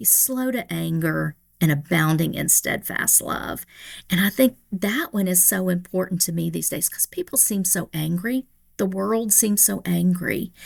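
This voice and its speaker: Speaking with a Tennessee accent, a woman keeps a fairly slow pace. The recording is very clean, with a silent background. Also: dry, close sound with no echo. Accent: Tennessee, Southern US. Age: 60s. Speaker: pastor. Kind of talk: podcast interview.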